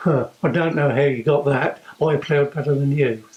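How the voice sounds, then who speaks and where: A man with an East Anglian accent speaks in a fairly high, somewhat breathy voice. His intonation is fairly even. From England, South Cambridgeshire. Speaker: competitive ploughman and tractor restorer. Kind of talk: interview testimony. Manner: hesitant, many fillers.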